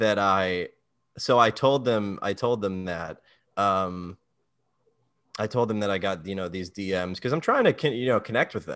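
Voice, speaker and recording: Speaking with an American accent against a quiet background, a man uses a normal speaking voice at a fairly low pitch, a moderate pace, and ordinary pitch variation. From US, Maryland. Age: 20s. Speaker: comedian. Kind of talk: casual chat.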